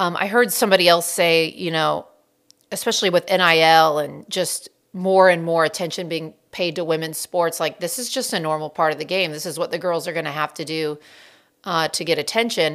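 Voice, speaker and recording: The recording is very clean, with a silent background. Delivery comes at a fairly quick pace with ordinary pitch variation. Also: woman, fairly low pitch for a woman. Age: 40s. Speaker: podcast host and volleyball coach. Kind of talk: solo podcast monologue. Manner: animated.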